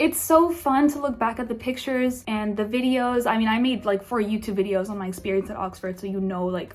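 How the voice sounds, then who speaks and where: Over noticeable background noise, a woman with a fairly high pitch talks at a fairly quick pace, her tone animated and her intonation lively. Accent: American. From France, raised partly in US. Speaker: vlogger. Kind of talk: casual vlog talk. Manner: chatty, animated.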